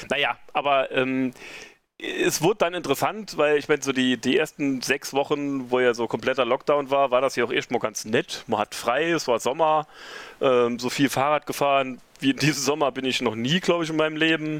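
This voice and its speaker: Fairly high in pitch, a man talks at a moderate pace in a normal speaking voice. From rural northern Saarland, Germany. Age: 40s. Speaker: event organizer. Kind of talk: casual interview.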